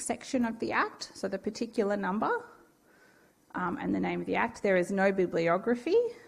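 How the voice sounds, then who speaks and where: In an Australian accent, a woman speaks at a medium pitch with ordinary pitch variation. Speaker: university law lecturer. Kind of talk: lecture.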